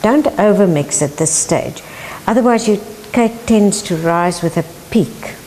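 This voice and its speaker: Over noticeable background noise, a woman with a South African accent talks at a fairly slow pace with lively intonation. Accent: South African (Afrikaans). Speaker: home cook, housewife. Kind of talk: cooking lesson to camera.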